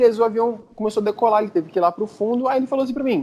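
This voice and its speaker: A man in a Brazilian accent at a very fast pace. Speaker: podcast panelist. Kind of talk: casual chat, storytelling.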